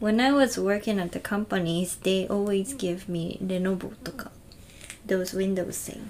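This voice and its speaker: With a strong Okinawan accent, a woman of medium pitch speaks at a very slow pace over noticeable background noise. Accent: strong Okinawan intonation. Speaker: podcast host. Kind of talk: casual chat. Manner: slow, relaxed.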